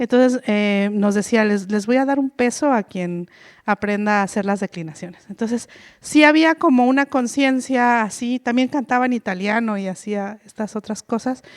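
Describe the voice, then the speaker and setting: In a very clean recording with a silent background, a woman speaks at a moderate pace and a fairly high pitch. The sound is dry and close with no echo, and her pitch variation is ordinary. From Mexico, Oaxaca Mixe region. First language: Mixe (speaking Spanish). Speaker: author and linguist, panelist. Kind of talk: panel talk. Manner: halting, many fillers.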